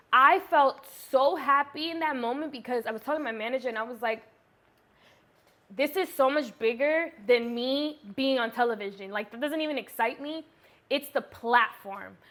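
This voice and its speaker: The voice is animated, with a bright, sharp tone, ordinary pitch variation, and a moderate pace. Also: woman, high pitch for a woman. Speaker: YouTuber, beauty vlogger. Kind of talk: casual chat, story time.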